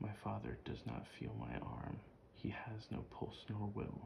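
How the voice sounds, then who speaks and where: This is a man speaking. He is soft-spoken. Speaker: ASMR creator. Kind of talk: poetry reading.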